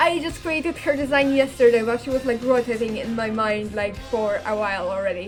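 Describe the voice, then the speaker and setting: With music in the background, a woman speaks at a moderate pace using lively intonation. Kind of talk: casual talk to camera. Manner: rambling, hesitant.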